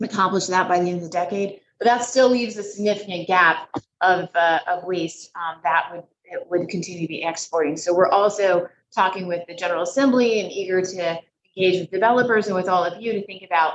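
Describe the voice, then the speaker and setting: At a very fast pace, a medium-pitched woman speaks with fairly even intonation and big swings in loudness. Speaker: state environment commissioner. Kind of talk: presentation at public meeting. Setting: hybrid public meeting. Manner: hesitant with many fillers.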